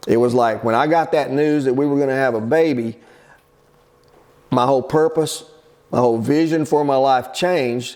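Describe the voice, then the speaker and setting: A man speaks at a medium pitch with a plain, everyday voice. His intonation stays fairly even and his pace is fairly quick. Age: 60s. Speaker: pastor. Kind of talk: casual teaching talk. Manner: conversational.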